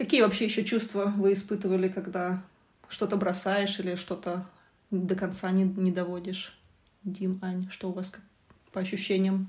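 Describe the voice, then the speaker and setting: A somewhat breathy woman speaks at a medium pitch and a moderate pace, in a monotone, flat intonation. Her loudness swings widely, and her pauses are long and frequent. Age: 30s. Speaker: podcast co-host, university researcher. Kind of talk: casual chat.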